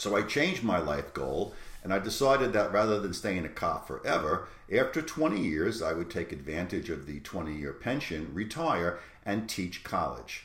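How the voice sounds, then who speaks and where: Here a man talks fairly quickly with very wide pitch swings. Audible room echo and noticeable background noise surround him. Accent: New York. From New York City. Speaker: college professor. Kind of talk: lecture. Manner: hesitant, many fillers.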